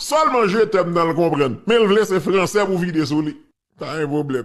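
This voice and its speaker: A man with a Haitian accent. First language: Haitian Creole (speaking French). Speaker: political commentator. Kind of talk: casual commentary. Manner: animated.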